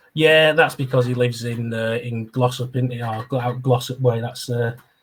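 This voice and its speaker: A man's medium-pitched, somewhat breathy voice at a moderate pace, in a monotone, flat intonation. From northern England, Oldham. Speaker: podcast host. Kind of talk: casual chat.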